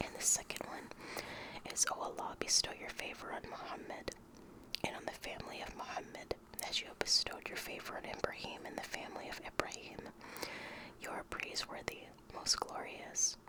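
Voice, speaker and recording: A whispering man with an American accent at a fairly quick pace, with long, frequent pauses, big swings in loudness and noticeable background noise. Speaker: ASMR creator. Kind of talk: casual talk to camera, ASMR reading intro. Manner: soft-spoken, whispered.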